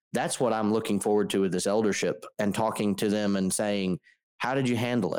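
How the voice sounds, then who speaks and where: A man with an unremarkable speaking voice talks at a moderate pace in a fairly low pitch. The recording is very clean, with a silent background. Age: 20s. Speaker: podcast co-host, church network. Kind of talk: casual chat.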